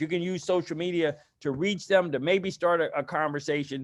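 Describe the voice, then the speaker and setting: Speaking fairly quickly, a man is heard. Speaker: public health consultant. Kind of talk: training presentation. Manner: fast.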